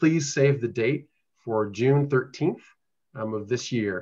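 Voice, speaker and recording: Against a quiet background, a man talks fairly slowly in an ordinary speaking voice with ordinary pitch variation. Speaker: presenter. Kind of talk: meeting presentation. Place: home room. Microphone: video call.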